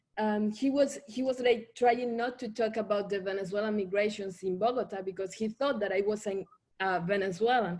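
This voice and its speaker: A woman in a Colombian Caribbean accent speaks at a moderate pace with a fairly high pitch. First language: Spanish. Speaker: writer. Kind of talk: panel discussion. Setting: video call. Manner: halting.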